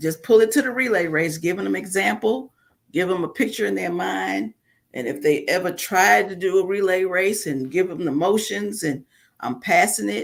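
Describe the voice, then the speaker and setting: With vocal fry and very wide pitch swings, a woman talks at a moderate pace and a medium pitch. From New York (Bronx). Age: 60s. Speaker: author, preacher's wife. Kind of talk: interview.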